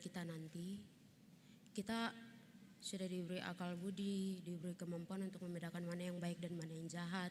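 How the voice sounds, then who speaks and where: A woman talks at a fairly quick pace. Her voice is somewhat breathy. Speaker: theology student presenting group discussion. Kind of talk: group presentation in class. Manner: halting, many fillers.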